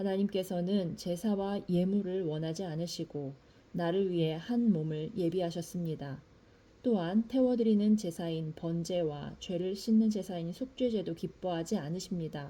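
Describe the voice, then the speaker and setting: Woman of medium pitch, somewhat breathy with a dark, mellow tone, at a moderate pace with ordinary pitch variation. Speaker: scripture reader. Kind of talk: reading aloud.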